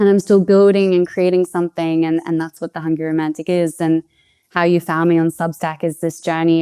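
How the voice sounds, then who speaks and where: In an Australian accent, a woman speaks with a fairly low pitch and a dark, mellow tone, her intonation monotone and flat, the sound dry and close with no echo on a very clean recording with a silent background. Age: 20s. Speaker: podcast guest, expat food writer. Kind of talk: interview conversation. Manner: hesitant, with repetitions.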